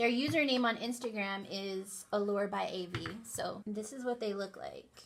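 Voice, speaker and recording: A woman speaks in a fairly high pitch with ordinary pitch variation. Music plays in the background. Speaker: beauty youtuber. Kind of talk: tutorial. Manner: casual.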